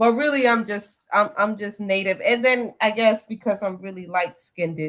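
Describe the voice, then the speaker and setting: Speaking with a slight Dominican accent, a woman uses a medium pitch, ordinary pitch variation and a moderate pace. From Dominican Republic. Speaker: podcast panelist. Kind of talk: casual chat. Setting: live podcast panel.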